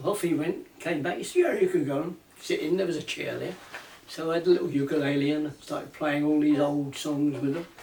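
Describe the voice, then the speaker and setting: Over noticeable background noise, a man with a fairly high pitch talks at a fairly quick pace with fairly even intonation. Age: 80s+. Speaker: ukulele banjo player and maker. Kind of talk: casual storytelling, reminiscing.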